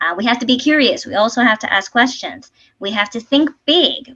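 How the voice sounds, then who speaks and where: A woman with a Spanish accent speaks at a fairly quick pace. Her tone is bright and sharp. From Puerto Rico, west coast (Sabana Grande). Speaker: civil engineer, transportation official. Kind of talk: presentation talk.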